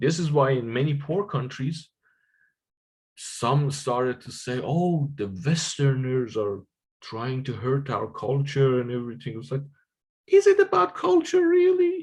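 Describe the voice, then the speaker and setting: A man speaks at a fairly slow pace and fairly high pitch. His voice is somewhat breathy, with ordinary pitch variation. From Iran. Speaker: economics lecturer. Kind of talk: lecture.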